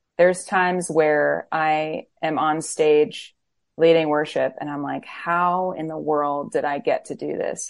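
A woman with an American accent uses a plain, everyday voice, pitched fairly low with ordinary pitch variation. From Florida. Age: 30s. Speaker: worship leader and singer-songwriter. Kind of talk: interview.

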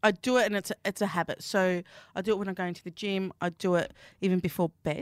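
At a very fast pace, a woman talks at a medium pitch, the sound dry and close with no echo. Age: 30s. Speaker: pastry chef. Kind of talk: casual chat. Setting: studio. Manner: animated.

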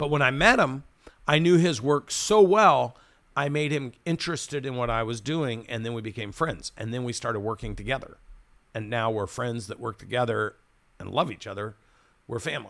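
Speaking at a moderate pace, a man of medium pitch has an American accent and an animated tone. His intonation is lively, with big swings in loudness. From United States. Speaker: podcast host and business mentor. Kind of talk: interview.

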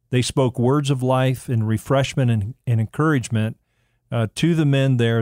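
A man with a normal speaking voice talks at medium pitch and a moderate pace with fairly even intonation. The very clean recording has a silent background and a dry, close sound with no echo. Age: 60s. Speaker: men's ministry mentor. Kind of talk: casual chat.

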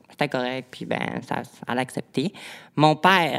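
A woman with a very deep, low pitch and ordinary pitch variation, in a Saguenay–Lac-Saint-Jean accent. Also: very clean recording, silent background. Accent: Quebec French (Saguenay–Lac-Saint-Jean). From Quebec, Lac-Saint-Jean. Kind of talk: personal testimony in interview.

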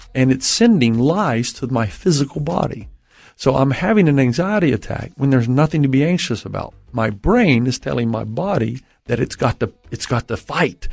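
A normal speaking voice with an American accent, lively intonation and a moderate pace. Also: man. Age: 50s. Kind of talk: interview about mental health and faith.

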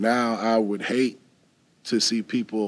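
Speaking with an American accent, a man uses a fairly low pitch and monotone, flat intonation. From Wisconsin. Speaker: coding instructor. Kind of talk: panel discussion. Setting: stage with audience.

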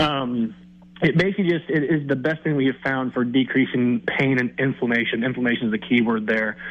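The pace is fairly quick, with ordinary pitch variation. Loudness stays very even. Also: man, medium pitch for a man. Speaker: chiropractor. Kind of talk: casual chat. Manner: halting.

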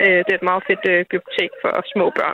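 This is a woman speaking. Her voice has a medium pitch. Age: 20s. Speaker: listener caller, parent. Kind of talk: casual chat.

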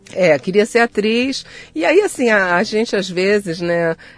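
A woman with a Rio de Janeiro accent, fairly slow, with ordinary pitch variation. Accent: Carioca Brazilian Portuguese. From Rio de Janeiro, Brazil. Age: 60s. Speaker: psychologist and author. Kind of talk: interview conversation.

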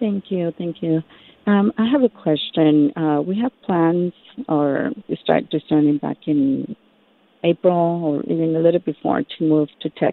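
A woman with an American accent talks in a normal speaking voice, pitched fairly low. She goes at a fairly slow pace with ordinary pitch variation. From US Midwest. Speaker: caller. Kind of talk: call-in question. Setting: phone call.

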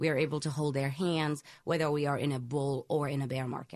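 With an American accent, a woman speaks at a very deep, low pitch and a fairly quick pace. Her intonation is fairly even, and the background is quiet. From Senegal, West Africa. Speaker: wealth planner. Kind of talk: interview.

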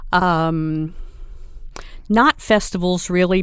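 At a very slow pace, a woman speaks at a fairly low pitch with ordinary pitch variation. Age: 60s. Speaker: retired travel writer. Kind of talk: interview. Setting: studio.

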